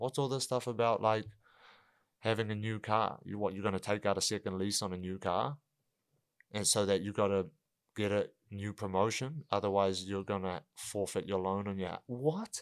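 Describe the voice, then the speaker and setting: Captured in a very clean recording with a silent background, a man with a New Zealand accent speaks fairly low in pitch. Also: ordinary pitch variation, moderate pace. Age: 20s. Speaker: professional MMA fighter. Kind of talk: casual chat.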